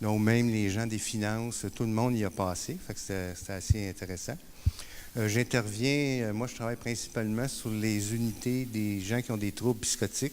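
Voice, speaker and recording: A man with a Quebec accent speaks at a moderate pace in a fairly low voice. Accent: Québécois. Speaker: peer support worker. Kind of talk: conference talk. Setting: conference stage with audience. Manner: hesitant, many fillers.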